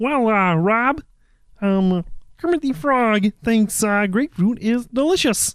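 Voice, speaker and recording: The speaker uses a put-on character voice with a fairly high pitch at a fairly slow pace. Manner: playful impression.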